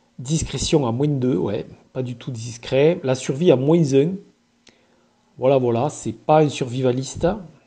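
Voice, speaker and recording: Very slow and somewhat breathy, a man speaks in a southern French accent with a dark, mellow tone. His pitch is fairly high, with ordinary variation. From southern France, Occitanie. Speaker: gamebook reader and reviewer. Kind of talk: casual presentation of a gamebook. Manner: hesitant, many filler sounds.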